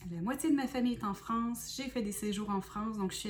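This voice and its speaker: A woman speaks with a Quebec accent and ordinary pitch variation. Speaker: spiritual medium and oracle card reader. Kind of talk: self-introduction and explanation to viewers. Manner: hesitant, many fillers.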